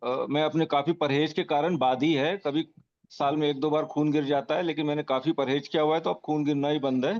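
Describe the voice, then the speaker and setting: Keeping very even loudness and fairly even intonation, a man speaks at a moderate pace. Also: fairly high pitch for a man, hardly any pauses. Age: 60s. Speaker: caller, retired government employee. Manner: halting.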